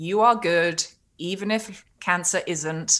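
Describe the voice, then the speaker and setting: A woman speaks with a British accent. Her pitch is medium. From Britain. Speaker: cancer survivor and author. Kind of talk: casual interview.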